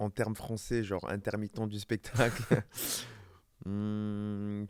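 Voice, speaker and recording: With a very slow pace and long, frequent pauses, a man speaks in a fairly low pitch, the sound dry and close with no echo. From southern France, Var. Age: 30s. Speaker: professional dancer and model. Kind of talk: casual interview.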